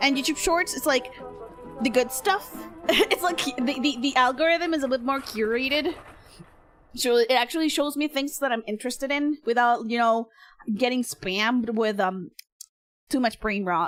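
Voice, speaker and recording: At a moderate pace, a woman with a high pitch and an animated tone speaks with ordinary pitch variation and long, frequent pauses. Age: 20s. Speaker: vtuber streamer. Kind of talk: casual chat. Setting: live stream.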